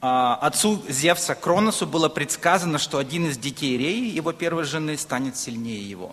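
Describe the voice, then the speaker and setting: A man's normal speaking voice, fairly high in pitch, at a moderate pace with hardly any pauses and lively intonation. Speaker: preacher. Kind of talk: sermon.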